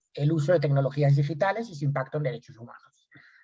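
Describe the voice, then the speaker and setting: The voice belongs to a man. Its pitch varies in an ordinary way. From Spain. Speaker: lawyer and researcher. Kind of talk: lecture.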